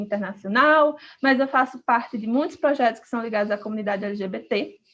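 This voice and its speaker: With a northeastern Brazilian accent, the speaker talks at a very fast pace with ordinary pitch variation. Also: woman. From Brazil, Northeast. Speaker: podcast co-host, activist. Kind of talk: casual podcast introduction.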